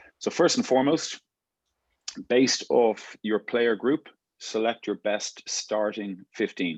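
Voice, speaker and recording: Lively intonation comes with an Irish accent at a fairly slow pace. The sound is dry and close, with no echo. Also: man. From Ireland, Dublin. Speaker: rugby coach. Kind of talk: coaching workshop. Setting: video call.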